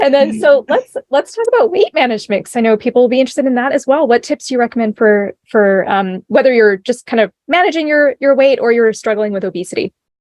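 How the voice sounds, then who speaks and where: With hardly any pauses, a woman with a high pitch races along at a very fast pace, her intonation lively. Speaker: interview host. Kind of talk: interview.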